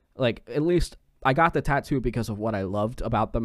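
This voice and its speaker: A man with a medium pitch speaks with lively intonation on a very clean recording with a silent background. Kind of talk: casual chat. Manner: profane, joking.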